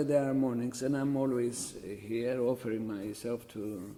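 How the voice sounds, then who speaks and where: A man with a Greek Cypriot accent, medium in pitch, at a moderate pace with ordinary pitch variation. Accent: Greek Cypriot, noticeable. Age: 70s. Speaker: church chanter. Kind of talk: oral history interview. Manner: halting.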